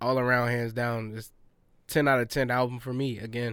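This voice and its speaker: A man with an unremarkable speaking voice, medium pitch, moderate pace. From US South. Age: 20s. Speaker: podcast host. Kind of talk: casual chat.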